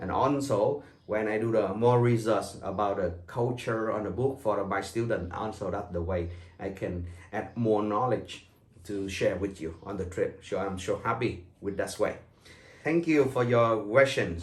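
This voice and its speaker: With a Vietnamese accent, a man speaks fairly slowly at a fairly low pitch with ordinary pitch variation. His voice is somewhat breathy, with audible room echo. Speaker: tour guide. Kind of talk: welcome talk to tour group. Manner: halting, with fillers.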